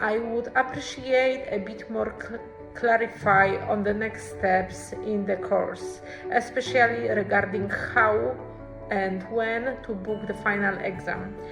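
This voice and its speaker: Music plays in the background. The speech goes at a very slow pace. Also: woman. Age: 30s. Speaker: accounting student. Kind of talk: student testimonial talk to camera.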